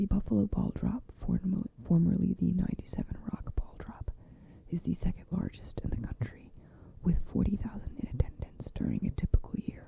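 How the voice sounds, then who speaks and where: Whispering at a moderate pace. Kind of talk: encyclopedia article reading. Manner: soft-spoken.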